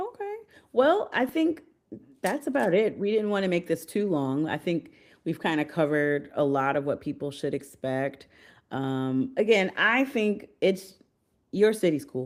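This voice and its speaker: This woman, with an American accent, talks at a fairly slow pace. Her pitch sits in the medium range but swings very widely. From United States. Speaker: podcast host and trip planner. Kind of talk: casual chat. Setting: live stream.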